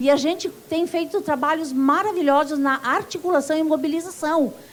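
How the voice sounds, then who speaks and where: A woman speaks at a moderate pace in a high voice, with ordinary pitch variation. Noticeable background noise runs through the clip. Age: 60s. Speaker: union activist. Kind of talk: conference speech.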